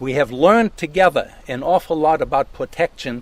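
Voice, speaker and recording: A man's fairly high-pitched voice with a German accent, fairly slow pace and ordinary pitch variation. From Germany. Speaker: landowner and forest steward. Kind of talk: outdoor talk to a tour group.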